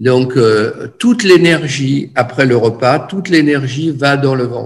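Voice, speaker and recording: With audible room echo, a man speaks at a very slow pace in a somewhat breathy, fairly high voice with ordinary pitch variation. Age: 70s. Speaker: energy therapist and teacher. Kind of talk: lecture. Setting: video call. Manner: halting.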